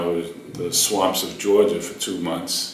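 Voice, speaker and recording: There is noticeable background noise and audible room echo as a man talks with a Boston accent. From Boston, Massachusetts. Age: 60s. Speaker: war veteran. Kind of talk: oral history interview. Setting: university room. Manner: halting, many fillers.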